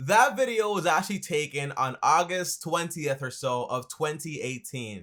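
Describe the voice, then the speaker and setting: A man with an American accent speaks at a fairly high pitch with lively intonation and a bright, sharp tone. He leaves hardly any pauses. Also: very clean recording, silent background. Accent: Caribbean-tinged American English. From Dominican Republic. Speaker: accountant and finance YouTuber. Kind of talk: casual Q&A talk to camera. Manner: fast.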